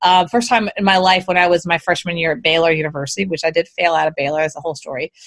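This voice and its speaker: In an American accent, the speaker goes at a very fast pace with hardly any pauses. Pitch variation is ordinary. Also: woman, fairly low pitch for a woman. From Texas (Houston). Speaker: business coach. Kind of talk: interview. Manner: fast, run-on.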